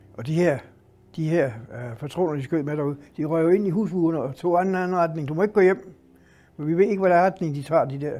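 A man talks at a fairly quick pace in a high, dark and mellow voice. His pitch varies in an ordinary way. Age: 80s+. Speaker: retiree telling war memories. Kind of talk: storytelling interview.

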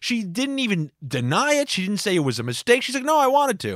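A loud, animated man talking at a very fast pace, with a dry, close sound and no echo. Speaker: podcast host. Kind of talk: comedic monologue.

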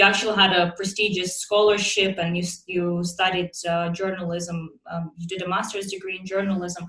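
A woman speaks at medium pitch and a moderate pace, her intonation flat and monotone. Her loudness swings widely, and background noise is noticeable. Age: 20s. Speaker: podcast host. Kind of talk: scripted narration; interview.

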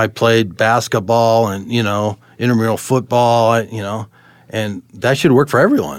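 A man speaks with medium pitch and fairly even intonation at a moderate pace. The recording is very clean with a silent background. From Colorado, US (moved from California at ten). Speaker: city utilities worker sharing his life story. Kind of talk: testimony. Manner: halting, many fillers and restarts.

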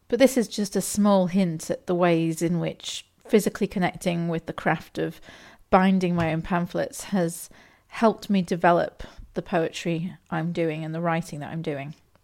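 A woman speaks with an English accent at a moderate pace and with fairly even intonation. The recording is very clean, with a silent background. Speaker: podcast host, novelist and poet. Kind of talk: podcast talk with poetry tips.

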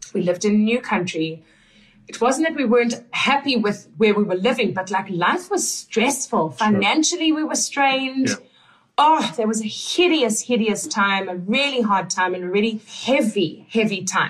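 With a South African accent, a woman speaks at a moderate pace in a fairly high, somewhat breathy voice with lively intonation. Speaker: podcast host and coach. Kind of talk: casual interview chat with husband.

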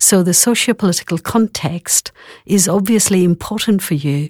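In a very clean recording with a silent background and a dry, close sound free of echo, a woman with a plain, everyday voice speaks at a moderate pace in a fairly low pitch. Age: 50s. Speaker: clinical psychologist. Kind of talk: casual chat.

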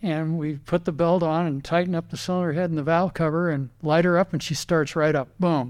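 A man's ordinary speaking voice, fairly high in pitch, with an American accent, at a moderate pace, on a very clean recording with a silent background. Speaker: racing driver and car builder. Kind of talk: interview. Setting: in his workshop.

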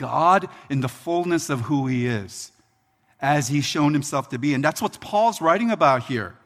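Lively in intonation, a man talks at a moderate pace in an ordinary speaking voice. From Philadelphia, US. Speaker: pastor. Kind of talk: sermon. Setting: church.

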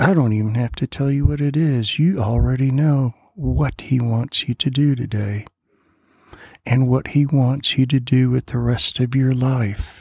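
Somewhat breathy and dark, mellow in tone, a man's voice unfolds at a fairly slow pace. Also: medium pitch for a man, ordinary pitch variation. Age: 60s. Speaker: preacher. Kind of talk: devotional sermon.

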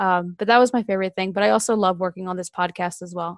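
A woman's very fast, flat, monotone speech over a quiet background, the sound dry and close with no echo. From Southern Delaware. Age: 20s. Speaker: undergraduate research assistant. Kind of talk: casual chat.

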